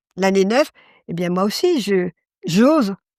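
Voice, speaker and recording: Speaking very slowly at a medium pitch, a woman uses lively intonation in a dry, close sound with no echo on a very clean recording with a silent background. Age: 70s. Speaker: card reader and medium. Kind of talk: interview testimony. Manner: halting.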